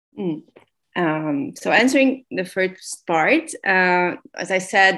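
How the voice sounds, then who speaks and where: A woman with a Hungarian accent is captured on a very clean recording with a silent background. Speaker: sociologist. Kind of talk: interview. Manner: halting, many fillers and repetitions.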